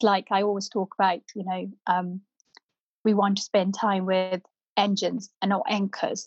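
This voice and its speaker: A woman speaks at a medium pitch and a fairly slow pace. Her intonation is monotone and flat. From northern India (Punjab), moved to UK 1997. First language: Punjabi. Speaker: property developer and management consultant. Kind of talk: podcast interview.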